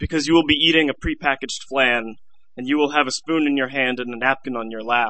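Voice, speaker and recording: A man's fairly high-pitched voice, an ordinary speaking voice. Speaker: poet. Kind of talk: spoken-word poem performed at an open mic, comic and absurdist. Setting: stage with audience. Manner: deadpan, wry.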